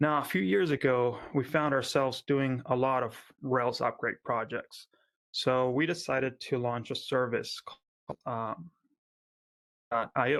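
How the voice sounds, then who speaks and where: Delivered at a fairly slow pace in a slight Argentine accent, the speech has ordinary pitch variation and a dry, close sound with no echo. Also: man, medium pitch for a man. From Argentina. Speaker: software company founder giving a conference talk. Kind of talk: conference talk. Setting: remote conference. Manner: frequent filler words and hesitations.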